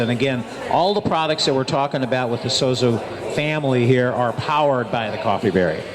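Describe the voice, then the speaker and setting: Over noticeable background noise, a man talks at a fairly quick pace with lively intonation and fairly high pitch. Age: 60s. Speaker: radio show host. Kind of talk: radio talk show, product promotion. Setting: live remote broadcast at a restaurant.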